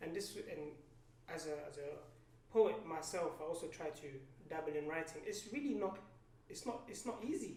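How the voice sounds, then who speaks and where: A man speaks at a moderate pace in a high voice with lively intonation. Long, frequent pauses break up his speech, and room echo is audible. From Palestinian-Danish background. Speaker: poet and podcast guest. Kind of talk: casual chat. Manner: halting, many fillers.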